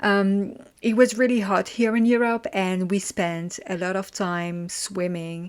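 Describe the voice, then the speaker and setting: Medium in pitch, a woman speaks very slowly with ordinary pitch variation. The recording is very clean, the background silent. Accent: French. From France. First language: French. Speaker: podcast host. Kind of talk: informative podcast monologue. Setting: at a desk.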